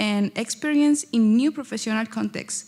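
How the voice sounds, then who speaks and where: This is a woman speaking with a Spanish accent. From Chile, Concepcion area. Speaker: student teacher. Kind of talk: prepared speech.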